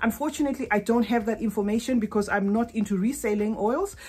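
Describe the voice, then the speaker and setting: A woman speaks at a very fast pace. Her voice is somewhat breathy, with ordinary pitch variation. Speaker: fragrance vlogger. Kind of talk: casual vlog chat. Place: home room. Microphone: phone near.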